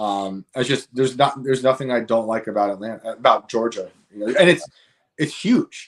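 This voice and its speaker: Here a man talks in a New York accent. His pace is fairly quick, with ordinary pitch variation. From New York state, rural upstate. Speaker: author and comedian. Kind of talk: casual chat.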